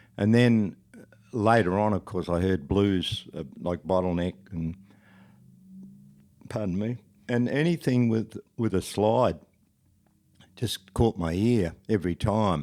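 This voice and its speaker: A man with an Australian accent talks at a very slow pace, leaving long, frequent pauses. His fairly low voice has a dark, mellow, relaxed tone and ordinary pitch variation. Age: 70s. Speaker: country and roots musician. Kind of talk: casual interview chat. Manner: relaxed, halting with fillers.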